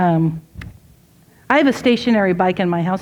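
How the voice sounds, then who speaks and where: A woman with a plain, everyday voice, medium-pitched with ordinary pitch variation, at a moderate pace, on a very clean recording with a silent background. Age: 60s. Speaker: speaker at a women's event. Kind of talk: inspirational talk. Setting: ladies tea with live audience. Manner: conversational.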